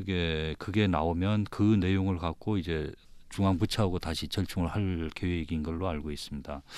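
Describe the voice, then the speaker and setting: At a moderate pace, a man talks in a very deep, low voice. His intonation stays fairly even. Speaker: provincial tourism official. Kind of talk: panel debate. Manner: halting.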